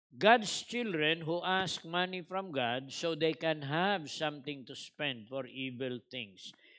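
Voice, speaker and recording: Over a quiet background, a man talks very slowly in a bright, sharp tone. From Philippines. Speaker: preacher. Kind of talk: Bible-teaching sermon in Taglish, expounding scripture. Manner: teacherly, conversational, switching between Tagalog and English, with humor. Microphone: headset.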